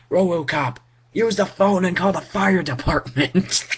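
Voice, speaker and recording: In a put-on character voice pitched high, a man talks at a moderate pace. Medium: read story.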